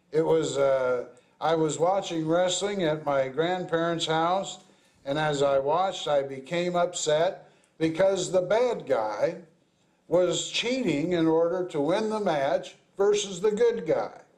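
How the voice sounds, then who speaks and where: With audible room echo, a man with an American accent talks at a high pitch with ordinary pitch variation. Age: 60s. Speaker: pastor. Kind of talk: sermon.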